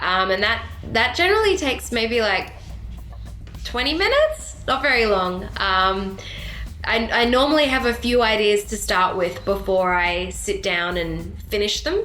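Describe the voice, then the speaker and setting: The voice moves at a fairly slow pace, with music in the background and audible room echo. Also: woman. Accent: Australian. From Sydney, Australia. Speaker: country/rock singer-songwriter. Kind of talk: casual interview.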